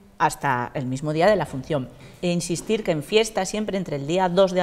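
The speaker is a woman. Her pitch variation is ordinary. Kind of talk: interview answer. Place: hall.

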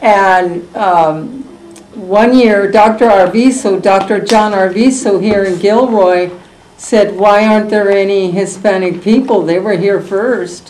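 Speaking with an American accent, a woman keeps her intonation fairly even. Her pace is very slow. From California, US. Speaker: community elder sharing local history. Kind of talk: oral history interview. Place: meeting room. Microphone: camera far.

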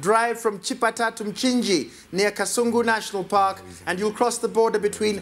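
This man has a high-pitched voice and fairly even intonation. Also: moderate pace. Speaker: quiz show host. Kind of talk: quiz hosting, reading questions. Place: studio. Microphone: lapel.

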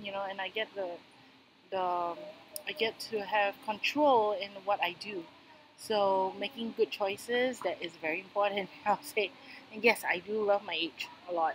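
This woman has a plain, everyday voice, medium in pitch, with ordinary pitch variation and a moderate pace. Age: 30s. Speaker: financial consultant. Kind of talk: interview answer.

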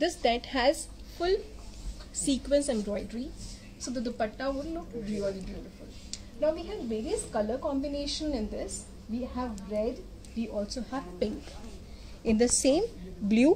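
A woman with a high pitch talks at a moderate pace. She leaves long, frequent pauses, with light background noise behind her. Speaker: presenter. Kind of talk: product demonstration. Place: shop. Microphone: phone near.

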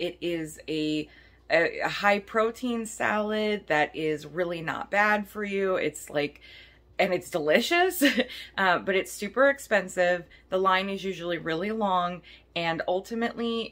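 Ordinary pitch variation marks the fairly slow speech of a woman. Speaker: vlogger. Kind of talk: casual vlog chat. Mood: upbeat, chatty. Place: kitchen. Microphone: phone near.

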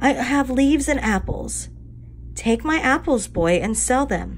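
Slow and lively in intonation, a woman puts on a character voice pitched high.

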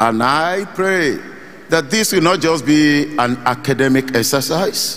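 This man's voice sits fairly high for a man, with ordinary pitch variation. He speaks at a very slow pace. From Nigeria. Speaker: pastor; pastor giving remarks. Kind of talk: sermon. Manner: urgent. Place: hall. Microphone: handheld.

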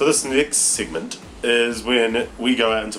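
A man speaks with a New Zealand accent. Light background noise can be heard. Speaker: vlogger. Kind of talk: casual vlog talk to camera. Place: home room. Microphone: webcam.

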